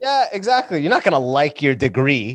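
A man with a fairly high voice at a very fast pace. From London, Ontario, Canada (born in Sudan, moved at six). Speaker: stand-up comedian and podcaster. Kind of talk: casual chat.

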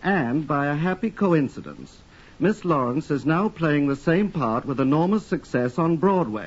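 A man with a plain, everyday voice, fairly high pitch, lively intonation and moderate pace. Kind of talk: polished, formal radio introduction and next-week promo. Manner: smooth, measured, formal, with light wit.

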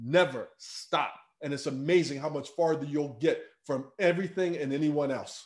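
A plain, everyday voice from a man with an American accent, fairly high-pitched, at a moderate pace with fairly even intonation. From US Northeast, inner-city Philadelphia. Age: 40s. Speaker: life coach and speaker. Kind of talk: interview conversation. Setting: remote call.

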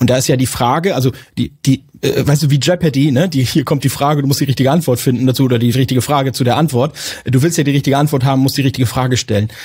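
At a very fast pace, a man speaks with a medium pitch and a somewhat breathy voice. His intonation is fairly even and his loudness very even. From northern Germany, Lower Saxony. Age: 40s. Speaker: IT manager in a trades company. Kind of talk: casual interview.

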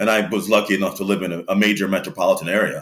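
This man talks at a very fast pace with an American accent. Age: 40s. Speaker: interview guest. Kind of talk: casual interview. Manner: hesitant, many fillers.

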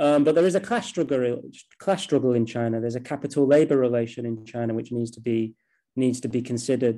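In a Mancunian accent, a man with a dark, mellow tone and medium pitch talks at a very fast pace with ordinary pitch variation and big swings in loudness over a quiet background. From Manchester, England. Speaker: postgraduate researcher on China, former news journalist. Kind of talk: interview. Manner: hesitant, many fillers.

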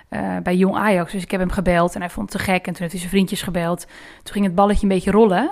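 A woman's very fast, monotone delivery with flat intonation. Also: medium pitch for a woman, big swings in loudness. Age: 20s. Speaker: talk show editor. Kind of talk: interview.

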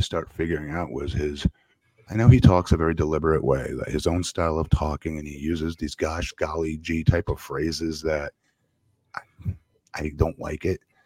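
Speaking at a moderate pace, a man with a very deep, low pitch shows big swings in loudness in a dry, close sound with no echo. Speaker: wrestling podcast host. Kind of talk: casual chat. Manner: halting.

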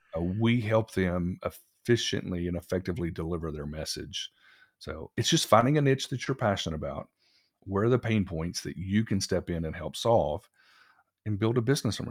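A man with a Texan accent talks at a fairly quick pace. The recording is very clean, dry and close, with no echo and a silent background. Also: fairly low pitch for a man, lively intonation. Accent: Texan American. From Texas. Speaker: business owner, agency founder. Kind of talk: interview conversation.

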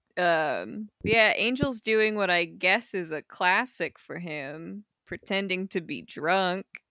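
Very slow and lively in intonation, a woman speaks with a bright, sharp tone. The sound is dry and close, with no echo. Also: medium pitch for a woman, very clean recording, silent background. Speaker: podcast co-host. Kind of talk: casual chat.

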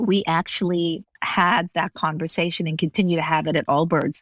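A woman with an American accent speaks at a moderate pace in a fairly low pitch, with a plain, everyday voice on a very clean recording with a silent background. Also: dry, close sound with no echo. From Las Vegas, US. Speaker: business executive and author. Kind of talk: interview.

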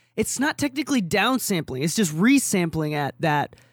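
An animated, fairly quick delivery in a very clean recording with a silent background. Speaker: mixing engineer and podcast co-host. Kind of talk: casual chat. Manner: animated, swears casually.

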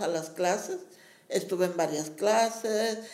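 A woman with a medium-pitched voice speaks at a very slow pace and fairly even intonation, with audible room echo. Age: old. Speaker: community center teacher and promoter. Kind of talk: interview.

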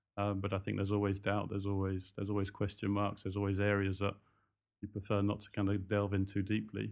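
Over a silent background in a very clean recording, a man with a fairly low pitch speaks at a very fast pace in a monotone, flat way. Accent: slight British. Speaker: recruitment company founder. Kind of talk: interview, casual chat. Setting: hotel, interview. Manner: conversational, hesitant with fillers.

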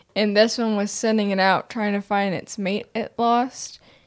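A woman speaks at a fairly slow pace in an ordinary speaking voice. Her pitch is fairly high, and her intonation stays fairly even. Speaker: podcast guest panelist. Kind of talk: casual chat.

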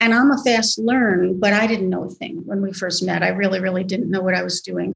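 A somewhat breathy woman at a fairly quick pace. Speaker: musical theater writer. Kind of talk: casual interview.

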